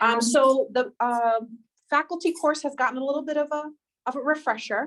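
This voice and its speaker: A loud woman with a New York accent, high in pitch, at a moderate pace. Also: ordinary pitch variation. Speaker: faculty trainer. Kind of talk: workshop presentation.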